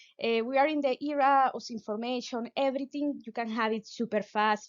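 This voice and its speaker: Speaking with a Venezuelan accent, a woman uses a fairly high pitch and fairly even intonation. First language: Spanish. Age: 30s. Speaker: physicist and science communicator. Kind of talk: pop-science talk. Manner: halting, with many fillers.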